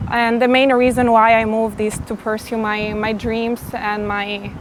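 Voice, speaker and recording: A woman speaks with fairly high pitch and monotone, flat intonation at a fairly slow pace. Noticeable background noise sits behind her. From Italy. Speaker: interviewee, Albanian immigrant. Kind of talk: interview. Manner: hesitant with fillers.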